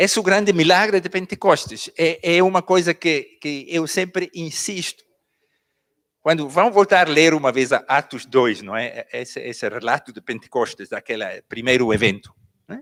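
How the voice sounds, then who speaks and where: Speaking with a non-native accent, a man's high voice makes very wide pitch swings. The recording is very clean and dry, close with no echo, over a silent background. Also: moderate pace, big swings in loudness. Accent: Angolan Portuguese, non-native. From Switzerland, Basel. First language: Swiss German (speaking Portuguese). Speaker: pastor. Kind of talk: sermon.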